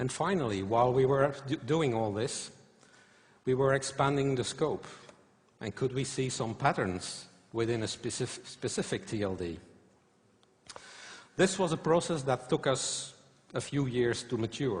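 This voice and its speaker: A man speaks at a medium pitch in a somewhat breathy voice with lively intonation. His pace is fairly slow, with long, frequent pauses. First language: not English or German. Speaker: conference speaker. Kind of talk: conference talk. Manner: halting, many fillers.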